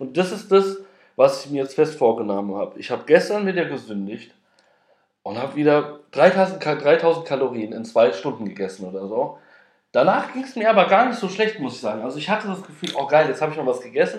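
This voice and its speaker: A man with vocal fry, a fairly quick pace, big swings in loudness and very wide pitch swings. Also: fairly high pitch for a man. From Frankfurt am Main, Hesse, Germany. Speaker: podcast host. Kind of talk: casual personal monologue. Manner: hesitant, many filler sounds.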